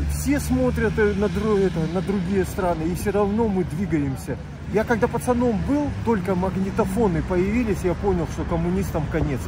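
The man's voice sounds dry with no echo, and noticeable background noise runs beneath it. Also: moderate pace. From Khabarovsk, Russian Far East. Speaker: retired street protester, activist. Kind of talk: street interview answer. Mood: earnest, critical. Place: street.

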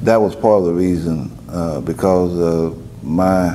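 A man speaks with a Louisiana accent in a very deep, low voice. Light background noise can be heard. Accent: Southern US, Louisiana. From Denham Springs, Louisiana. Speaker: former student advocate; interviewee. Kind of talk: oral history interview answer. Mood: calm, reflective. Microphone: lapel.

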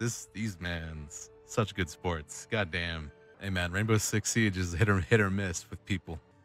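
Against faint music, a man with a very deep, low pitch and ordinary pitch variation talks fairly slowly, the sound dry with no echo. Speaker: voice actor. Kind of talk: casual gaming chat. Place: home room.

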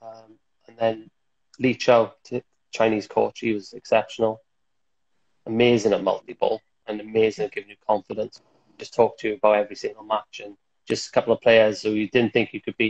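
Speaking at a fairly quick pace with long, frequent pauses, a man with a Welsh accent shows big swings in loudness. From Wales. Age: 30s. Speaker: table tennis player and coach; coach. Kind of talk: casual interview chat. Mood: relaxed, reflective. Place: home room. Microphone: earbuds.

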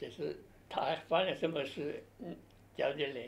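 Speaking fairly slowly, a man uses ordinary pitch variation. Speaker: military police veteran. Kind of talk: oral history interview answer. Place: office.

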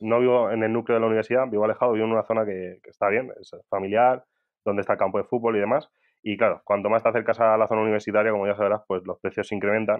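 Very fast and in monotone, flat intonation, a man delivers his lines. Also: medium pitch for a man. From Spain, Albacete. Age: 30s. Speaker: tech entrepreneur. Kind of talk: interview.

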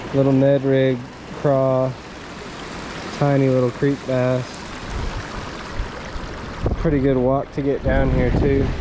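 A man speaks at a fairly slow pace. The sound is dry with no echo, and background noise is noticeable. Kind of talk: casual vlog chat. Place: waterside. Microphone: camera far.

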